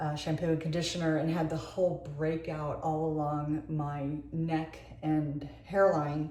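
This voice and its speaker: Very deep and low in pitch, a woman speaks in a monotone, flat way at a fairly slow pace with hardly any pauses, along with audible room echo and noticeable background noise. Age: 60s. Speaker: beauty vlogger. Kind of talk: casual tutorial monologue. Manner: halting.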